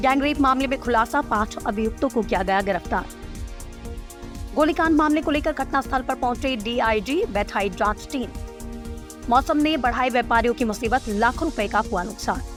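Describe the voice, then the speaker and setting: Over music in the background, a woman talks at a high pitch with ordinary pitch variation. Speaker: news anchor / voice-over presenter. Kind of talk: news bulletin read.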